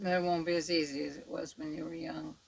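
A woman is mumbling. Her pace is moderate. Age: 70s. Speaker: makeup artist; makeup tutorial host. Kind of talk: tutorial. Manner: casual, chatty. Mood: chatty, reflective. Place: home room. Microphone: studio mic.

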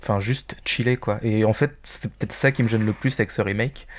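An ordinary speaking voice, a man at a moderate pace with fairly even intonation, on a very clean recording with a silent background. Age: 30s. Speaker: gaming community member, podcast panelist. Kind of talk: casual chat.

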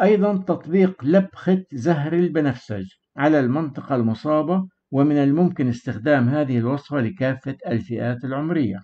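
A man with a normal speaking voice talks at a fairly slow pace and a fairly high pitch. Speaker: herbal remedies channel host. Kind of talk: scripted narration. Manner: formal.

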